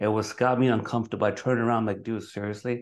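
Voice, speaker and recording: A man's medium-pitched voice with an American accent over a quiet background. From Brooklyn, New York. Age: 40s. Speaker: podcast host. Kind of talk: interview. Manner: casual, stumbling.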